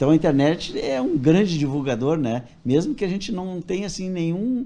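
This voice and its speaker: A man speaks at a moderate pace in a high voice with a dark, mellow tone. His intonation is lively. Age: 70s. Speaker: toy repairer. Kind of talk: interview.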